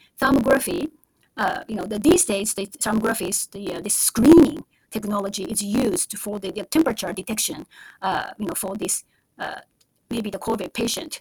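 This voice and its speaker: Using lively intonation at a fairly high pitch, a woman with a Japanese accent speaks at a moderate pace, somewhat breathy, with big swings in loudness and long, frequent pauses. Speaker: stock podcast host. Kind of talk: solo podcast monologue. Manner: halting, many fillers.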